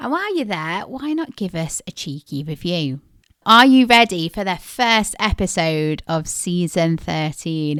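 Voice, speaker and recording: Using lively intonation, a woman with a British accent talks fairly slowly at a fairly low pitch. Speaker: podcast co-host.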